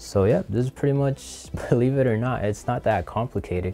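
Here a man talks at a moderate pace with ordinary pitch variation. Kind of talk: tutorial. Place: studio. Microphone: lapel.

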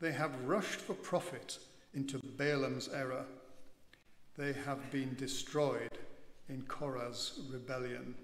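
Speech comes at a very slow pace with audible room echo. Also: man. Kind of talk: scripture reading. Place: church. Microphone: podium.

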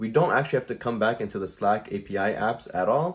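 Against a quiet background, a man talks at a fairly quick pace. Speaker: tutorial creator. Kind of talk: tutorial. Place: home room.

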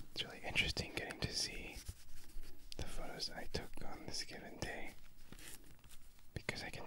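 The speaker whispers at a fairly quick pace, breaking often into long pauses. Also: man. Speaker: ASMR creator, film photographer. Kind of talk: ASMR video. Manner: mostly whispered. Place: home room. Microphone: studio mic.

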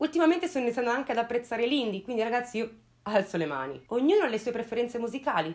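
A woman is speaking. Her voice has vocal fry. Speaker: true crime youtuber. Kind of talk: casual storytelling commentary. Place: home room. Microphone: lapel.

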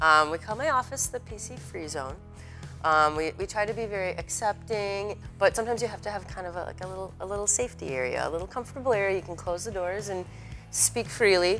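A woman rattles along at a very fast pace while faint music plays in the background. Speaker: guest. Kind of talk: interview answer. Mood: lively, laughing, animated. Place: factory. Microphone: lapel.

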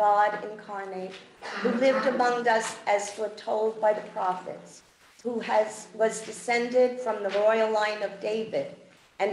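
In a room with audible echo and light background noise, a woman speaks fairly slowly in a fairly high, monotone, flat voice. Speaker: worship leader. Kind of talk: liturgical prayer and announcements. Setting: church. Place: church.

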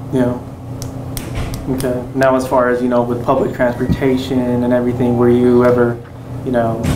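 A man speaks at a moderate pace with a monotone, flat intonation and medium pitch. Long, frequent pauses break up his speech over noticeable background noise. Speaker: oral history interviewer. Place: classroom.

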